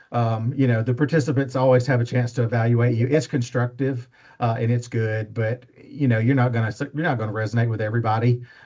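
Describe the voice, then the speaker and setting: With an Alabama accent, a man talks at a very fast pace with hardly any pauses, his medium-pitched, somewhat breathy voice dark and mellow in tone and flat, monotone in intonation. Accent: Southern US (Alabama). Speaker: faculty member / instructor. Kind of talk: training talk. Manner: casual, with many fillers.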